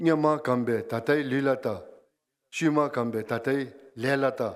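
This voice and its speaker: A man with a fairly high voice speaks in a Bhutanese accent at a fairly slow pace with ordinary pitch variation. The recording is very clean, with a silent background. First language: Dzongkha. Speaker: guest speaker. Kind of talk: ceremonial speech. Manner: formal.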